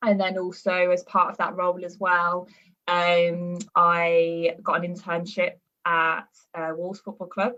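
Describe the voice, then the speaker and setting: Speaking with a Birmingham accent, a woman holds a fairly low pitch in a monotone, flat intonation. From West Midlands, Birmingham area. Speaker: performance nutritionist and university lecturer. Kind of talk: podcast interview. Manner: hesitant, many fillers.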